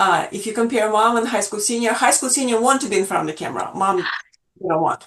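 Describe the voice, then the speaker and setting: A woman with a Russian accent and a fairly high pitch. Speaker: portrait photographer. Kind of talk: interview. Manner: halting, many fillers.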